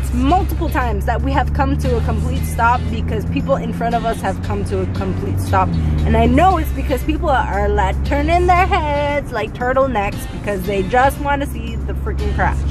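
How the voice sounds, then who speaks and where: A woman talks with hardly any pauses and ordinary pitch variation, the sound dry with no echo and clear music in the background. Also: moderate pace. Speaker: vlogger. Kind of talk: casual vlog chat. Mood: annoyed ranting. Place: car. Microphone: phone near.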